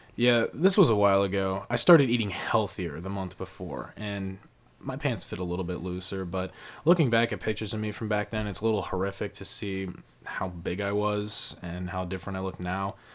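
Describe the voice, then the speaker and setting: In a normal speaking voice, a man talks at a fairly quick pace, his fairly low pitch moving with ordinary variation. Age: 20s. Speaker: podcast co-host. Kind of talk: casual chat.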